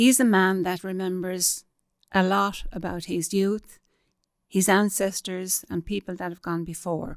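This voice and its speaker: With an Irish accent, a woman talks at a fairly slow pace. Her intonation stays fairly even. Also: medium pitch for a woman. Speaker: local history interviewer. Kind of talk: introduction to camera.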